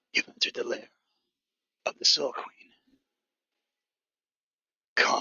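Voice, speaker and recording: In a put-on character voice, a man whispers raspily at a moderate pace. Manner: eerie whisper.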